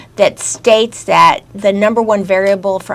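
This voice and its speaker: A woman speaks at a medium pitch with fairly even intonation. There is noticeable background noise. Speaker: grandparent influencer, radio guest. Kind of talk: radio interview.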